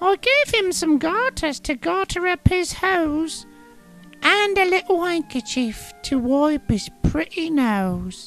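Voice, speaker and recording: A put-on character voice at extremely high pitch and a fairly slow pace, with faint music in the background. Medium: read story. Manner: fond, playful.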